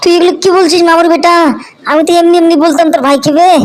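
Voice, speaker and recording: A cartoonish character voice races along at a very fast pace. Its pitch is extremely high. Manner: blunt, slangy.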